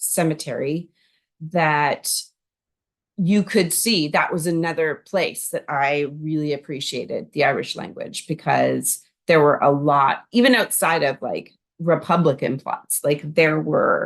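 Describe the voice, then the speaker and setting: Speaking at a very slow pace with a Canadian accent, the voice shows ordinary pitch variation against a quiet background. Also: woman. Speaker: language learner vlogger. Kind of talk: casual vlog monologue. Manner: chatty, many fillers.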